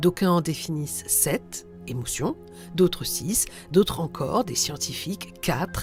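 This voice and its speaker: A woman with a very deep, low pitch and very wide pitch swings, at a very slow pace over music in the background. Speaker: radio host. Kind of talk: reflective radio monologue.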